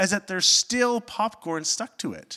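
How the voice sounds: At a moderate pace, a man talks with a high pitch and a bright, sharp tone.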